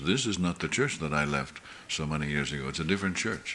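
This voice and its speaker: In a room with audible echo, a man talks very fast with ordinary pitch variation. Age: 70s. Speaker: pastor. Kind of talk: sermon. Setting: church meeting.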